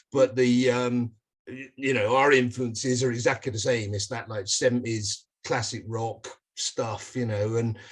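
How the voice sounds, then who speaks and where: A man's flat, monotone delivery with a British accent, somewhat breathy and fairly slow. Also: medium pitch for a man. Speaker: rock band musician. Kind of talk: interview.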